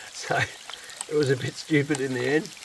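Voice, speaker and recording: A man talks with an Australian accent. Noticeable background noise runs behind him. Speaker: gold prospecting vlogger. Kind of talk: casual vlog narration. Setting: outdoors in the bush, then at home.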